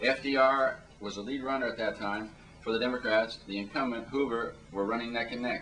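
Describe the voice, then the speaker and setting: A man talks at a fairly quick pace with ordinary pitch variation, with audible room echo and noticeable background noise. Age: 50s. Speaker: panelist, drug policy reform activist. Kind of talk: panel discussion talk.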